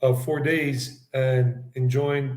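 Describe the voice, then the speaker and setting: A man with an American accent speaks at a fairly high pitch. His voice is somewhat breathy, with monotone, flat intonation. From South Carolina and New York, US. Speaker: travel vlogger and English teacher. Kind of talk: casual interview chat.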